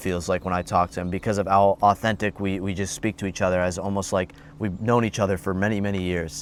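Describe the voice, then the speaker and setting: On a very clean recording with a silent background, a man talks at a fairly quick pace. He has a plain, everyday voice. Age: young. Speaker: entrepreneur vlogger. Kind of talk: casual vlog monologue. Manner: conversational, with false starts.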